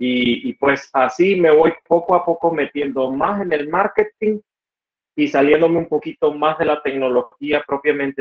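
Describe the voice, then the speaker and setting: A man with a fairly high voice and ordinary pitch variation speaks at a fairly slow pace. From Nicaragua, Estelí (north). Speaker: computer engineer and entrepreneur. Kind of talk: interview conversation. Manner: halting, frequent repetitions.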